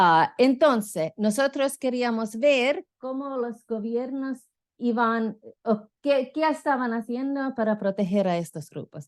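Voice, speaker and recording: With a non-native accent, a woman speaks very slowly in a high voice with lively intonation. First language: not Spanish (speaking Spanish). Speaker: political science professor. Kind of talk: conference lecture. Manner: halting, many fillers.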